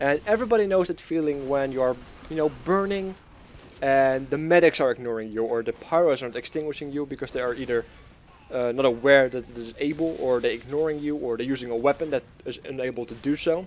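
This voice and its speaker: A man with a Dutch accent speaks very fast in a fairly high pitch, with ordinary pitch variation. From Netherlands. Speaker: gaming YouTuber. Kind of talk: gameplay commentary. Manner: casual, hesitant with fillers.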